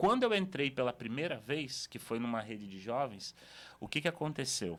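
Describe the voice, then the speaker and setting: Over a very clean recording with a silent background, a man speaks at a moderate pace with very wide pitch swings. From Brazil, Espírito Santo (Cariacica). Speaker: pastor. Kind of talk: podcast interview, personal testimony. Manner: casual, conversational.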